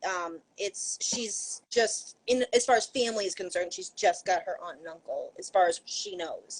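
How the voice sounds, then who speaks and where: A woman's medium-pitched voice in a Maine accent, moderate pace with hardly any pauses, ordinary pitch variation and big swings in loudness. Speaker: YA author. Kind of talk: casual chat. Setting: live video stream.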